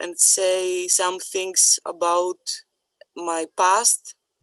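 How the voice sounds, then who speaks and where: A woman with a non-native accent speaks very slowly. The sound is dry and close with no echo. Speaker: person with lived experience. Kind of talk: personal testimony.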